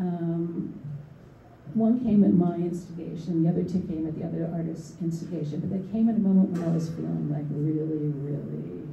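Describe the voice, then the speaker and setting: Over noticeable background noise and audible room echo, a woman with an American accent speaks at a moderate pace, fairly low in pitch with ordinary pitch variation. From US Northeast, Philadelphia. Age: 70s. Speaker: artist and art educator. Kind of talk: panel discussion. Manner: halting, with many fillers and repetitions.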